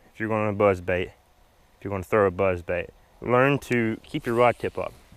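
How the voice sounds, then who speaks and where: The speaker is a man. His speech comes in a Southern US accent. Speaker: fishing vlogger. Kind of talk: casual chat while fishing, tutorial. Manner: hesitant, repeats words.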